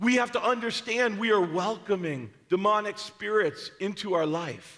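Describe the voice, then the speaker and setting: A man with a bright, sharp tone raises and projects his voice, showing ordinary pitch variation against a quiet background. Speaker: preacher. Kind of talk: sermon. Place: church.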